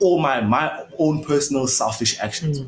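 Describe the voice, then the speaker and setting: A man speaks in a somewhat breathy voice. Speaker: podcast host.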